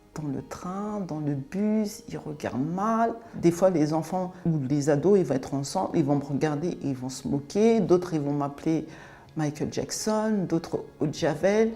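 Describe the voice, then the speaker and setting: Her pitch very deep and low, a woman talks at a fairly slow pace with lively intonation. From France (raised from age 5, born in Cameroon). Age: 40s. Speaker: interviewee sharing life story. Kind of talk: testimony interview. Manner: hesitant, many fillers.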